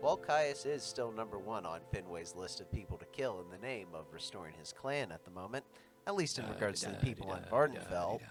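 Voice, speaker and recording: Music plays in the background as a man with a fairly low pitch talks at a fairly quick pace with lively intonation. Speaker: game streamer. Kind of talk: storytelling chapter intro.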